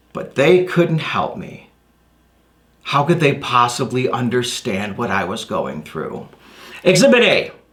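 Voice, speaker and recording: Amid audible room echo, a man speaks at a fairly slow pace and a fairly high pitch, with long, frequent pauses, very wide pitch swings and big swings in loudness. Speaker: motivational speaker. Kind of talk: stage presentation. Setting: stage. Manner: high energy.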